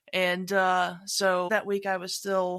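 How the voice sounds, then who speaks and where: Woman at medium pitch in a very clean recording with a silent background. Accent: Southern US. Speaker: podcast host. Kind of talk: casual chat.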